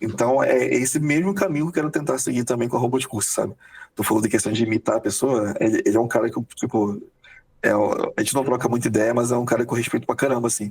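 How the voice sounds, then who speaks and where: A man at medium pitch with ordinary pitch variation and a very fast pace, over noticeable background noise. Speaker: software quality analyst. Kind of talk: podcast interview. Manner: hurried, energetic.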